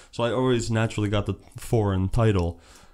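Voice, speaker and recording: This man has a Slovak accent and fairly even intonation. The recording is very clean, with a silent background. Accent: Slovak-tinged accent, acquired later. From New Jersey, Perth Amboy; Slovak family. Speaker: entrepreneur and real estate agent. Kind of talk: casual interview. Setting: at his home.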